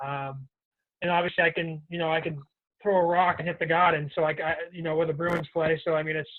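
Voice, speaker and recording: With a strong Boston accent, a man talks at a fairly quick pace in a high, monotone voice with flat intonation. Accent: Boston accent, heavy. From Boston, Massachusetts. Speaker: professional hockey player. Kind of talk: podcast interview.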